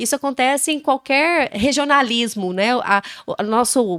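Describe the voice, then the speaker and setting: A woman speaks with ordinary pitch variation. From Brazil, Goiás. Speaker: podcast co-host, mother. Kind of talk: casual chat.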